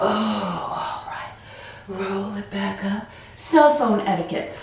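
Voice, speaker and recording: At a very slow pace, the speech comes through audible room echo and noticeable background noise. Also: woman. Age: 50s. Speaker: wellness channel host, retired office worker. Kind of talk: guided stretching with reflective talk. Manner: casual, conversational with fillers.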